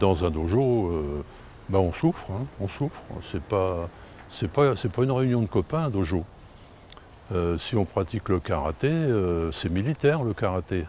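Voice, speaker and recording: Against noticeable background noise, a man with a very deep, low pitch speaks fairly slowly, leaving long, frequent pauses and swinging his pitch very widely. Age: 70s. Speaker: karate master. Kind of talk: interview. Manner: halting, many hesitations.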